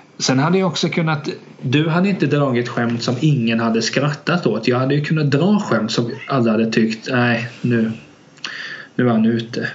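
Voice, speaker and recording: Noticeable background noise and audible room echo surround a man's voice. He talks at a moderate pace in a medium pitch with ordinary pitch variation. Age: 20s. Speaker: podcast co-host. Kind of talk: casual chat.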